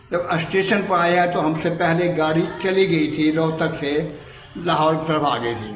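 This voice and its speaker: Noticeable noise runs behind a man whose intonation stays fairly level. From Rohtak, Haryana, India. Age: 80s+. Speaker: partition survivor, eyewitness. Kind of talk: oral history interview answer.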